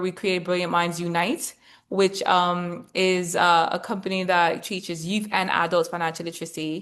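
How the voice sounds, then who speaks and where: Against a quiet background, a woman speaks at a medium pitch with a British accent. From Britain. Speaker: former investment banker and investor. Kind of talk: webinar presentation.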